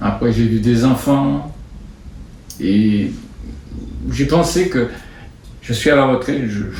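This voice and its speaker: Amid audible room echo, a man speaks very slowly in a somewhat breathy voice at a medium pitch, with ordinary pitch variation. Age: 70s. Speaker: sports club vice-president. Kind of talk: interview. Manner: halting.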